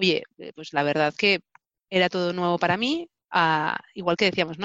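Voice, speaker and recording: A woman with a fairly low pitch and a normal speaking voice talks at a fairly quick pace with ordinary pitch variation, dry and close with no echo over a quiet background. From Spain, Barcelona. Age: 30s. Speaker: telecommunications engineer. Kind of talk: interview. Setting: video recording.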